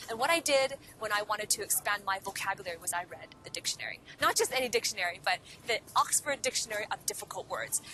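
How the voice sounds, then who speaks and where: Speaking in a Cantonese accent, a woman goes at a very fast pace. Her medium-pitched voice has lively intonation. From Hong Kong. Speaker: podcast host and career coach. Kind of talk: motivational talk to camera. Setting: outdoors in a park.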